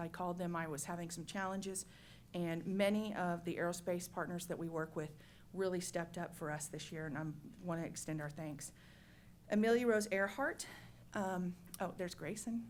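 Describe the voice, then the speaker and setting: Speaking at a fairly quick pace with fairly even intonation, a woman has a fairly low pitch and an unremarkable speaking voice. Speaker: state agency staff presenting to commission. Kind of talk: meeting presentation.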